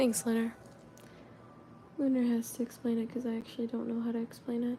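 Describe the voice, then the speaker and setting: A woman speaks at a fairly quick pace in a fairly high pitch, her dark, mellow tone held to a monotone, flat intonation. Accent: slight Southern US. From US Deep South. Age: 20s. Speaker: artist livestreamer. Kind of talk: casual livestream chat while painting. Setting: livestream. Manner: casual, chatty.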